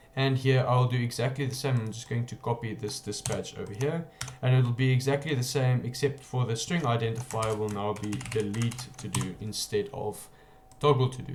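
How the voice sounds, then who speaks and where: There is noticeable background noise as a man talks at a moderate pace, medium in pitch with fairly even intonation. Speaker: programming tutorial creator. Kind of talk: coding tutorial.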